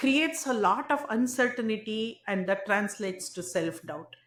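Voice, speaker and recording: This woman's voice is fairly high in pitch. She talks fairly slowly. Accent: Indian. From India. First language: not English, Indian language. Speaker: tech entrepreneur. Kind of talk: interview.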